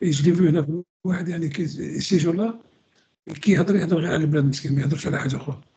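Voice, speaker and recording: Speaking at a very fast pace yet with long, frequent pauses, a man uses a fairly high pitch. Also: ordinary pitch variation. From Algeria. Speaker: historian. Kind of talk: radio discussion. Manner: halting, many repetitions.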